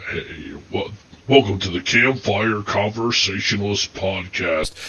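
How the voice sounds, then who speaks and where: Using a put-on character voice, a man speaks fairly slowly at a fairly low pitch. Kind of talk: announcer.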